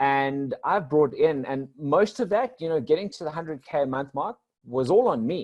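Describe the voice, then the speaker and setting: With a South African accent, the speaker uses lively intonation at a moderate pace. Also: man. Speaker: business coach. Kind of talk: podcast interview.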